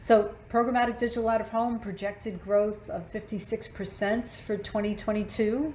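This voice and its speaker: The woman's voice is somewhat breathy and fairly high in pitch. Her intonation stays fairly even. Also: hardly any pauses. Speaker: marketing executive presenting. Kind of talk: webinar presentation. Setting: online webinar. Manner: fast.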